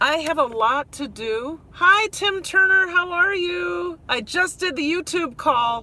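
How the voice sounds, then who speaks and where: With a Minnesotan accent, a woman speaks in an extremely high, raised and projected voice, very slowly and with lively intonation, hardly pausing over noticeable background noise. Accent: Minnesota. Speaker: vlogger. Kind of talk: live stream chat while driving. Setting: in a car. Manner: halting, many fillers.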